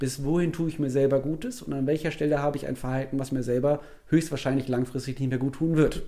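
A man speaks at a fairly quick pace in a dark, mellow tone, with medium pitch and ordinary pitch variation. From Germany, Wuppertal. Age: 30s. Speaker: keynote speaker on nutrition and health psychology. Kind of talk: casual interview.

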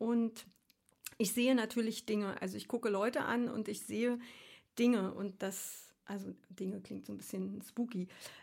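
Her voice sits at a fairly high pitch, and the woman keeps a moderate pace with a monotone, flat intonation. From Berlin (East), Germany. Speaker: aromatherapist and herbalist. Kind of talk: casual interview chat.

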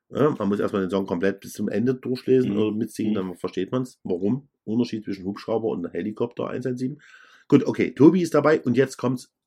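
A man with a normal speaking voice at medium pitch, a fairly quick pace, ordinary pitch variation and big swings in loudness, over a quiet background. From Saxony, Germany. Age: middle-aged. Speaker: DJ and podcast co-host. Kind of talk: casual chat.

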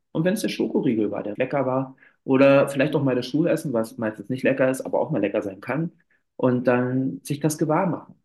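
At a fairly quick pace, a man with an unremarkable speaking voice talks in a medium pitch with ordinary pitch variation. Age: 30s. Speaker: climbing therapist. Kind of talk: interview.

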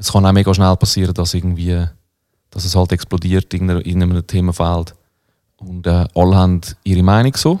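A man's very deep, low pitch and dark, mellow tone at a very fast pace, on a very clean recording with a silent background. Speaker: rapper. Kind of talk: casual chat.

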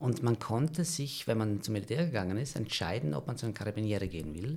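At a fairly quick pace, a man speaks with lively intonation in a somewhat breathy voice. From South Tyrol, valley near Merano. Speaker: screenwriter. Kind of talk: storytelling in casual chat. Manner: hesitant, many fillers.

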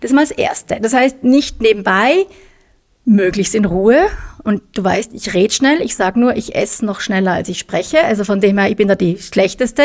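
With a plain, everyday voice, a woman speaks at a fairly high pitch and fairly quick pace, her intonation lively. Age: middle-aged. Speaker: nutrition expert. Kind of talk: casual chat.

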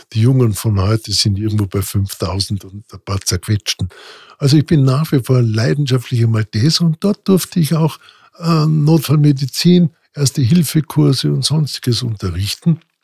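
A man at medium pitch speaks at a moderate pace, somewhat breathy and with very wide pitch swings, in a dry, close sound with no echo. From Austria, Vorarlberg (Montafon). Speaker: emergency doctor, podcast host. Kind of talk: personal storytelling monologue. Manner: casual, with filler hesitations.

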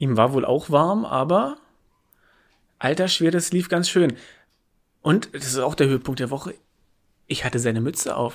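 Pausing long and often, a man talks fairly slowly with lively intonation and a fairly high pitch.

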